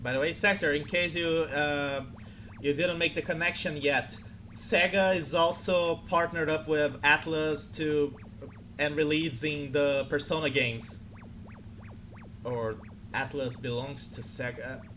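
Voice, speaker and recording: With a Portuguese accent, the speaker talks at a fairly slow pace with long, frequent pauses. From Brazil. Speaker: streamer. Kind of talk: casual chat. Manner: halting.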